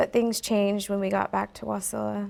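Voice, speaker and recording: A soft-spoken woman talks at a moderate pace. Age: young. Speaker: recovering drug addict. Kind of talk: reading a letter aloud.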